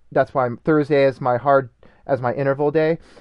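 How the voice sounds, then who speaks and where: A man has a normal speaking voice, fairly high in pitch. His pitch varies in an ordinary way. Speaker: masters runner and obstacle racer. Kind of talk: casual chat.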